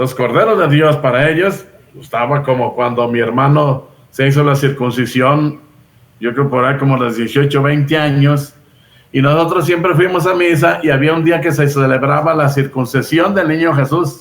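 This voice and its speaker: A man with an ordinary speaking voice at a moderate pace, ordinary pitch variation and very even loudness. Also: fairly high pitch for a man. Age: 60s. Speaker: Bible teacher. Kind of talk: casual chat.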